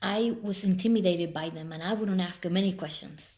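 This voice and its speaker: A woman in a Spanish accent with an animated tone, moderate pace, ordinary pitch variation and audible room echo. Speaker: life coach. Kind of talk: live stream talk.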